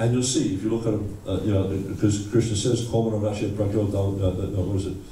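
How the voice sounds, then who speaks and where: Noticeable background noise and audible room echo fill the recording. A man speaks at a fairly low pitch. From Australia. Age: 60s. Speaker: visiting lecturer, Hare Krishna monk. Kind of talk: lecture. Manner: halting, repeats words.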